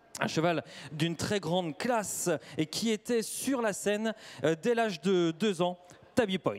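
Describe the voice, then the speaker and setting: A man's high voice with very even loudness, ordinary pitch variation, a fairly slow pace and long, frequent pauses. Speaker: event presenter. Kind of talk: live presentation.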